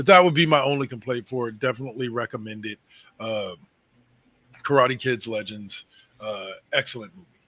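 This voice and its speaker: A put-on character voice, raspy and at a fairly quick pace, comes with big swings in loudness and long, frequent pauses. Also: man, medium pitch for a man. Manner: disappointed.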